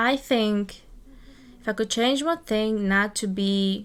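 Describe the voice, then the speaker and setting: A woman with a Greek accent speaks at a fairly high pitch. The recording is very clean, with a silent background. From Greece. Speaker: podcast co-host. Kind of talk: casual chat.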